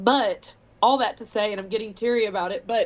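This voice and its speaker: A woman speaks with a Texas accent. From Texas, Weatherford. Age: 40s. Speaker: singer-songwriter. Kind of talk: interview.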